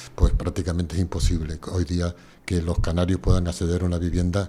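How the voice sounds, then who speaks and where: Somewhat breathy and dark, mellow in tone, a man talks at a fairly quick pace with a very deep, low pitch and a flat, monotone delivery. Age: 70s. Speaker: environmental activist and geographer. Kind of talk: interview answer.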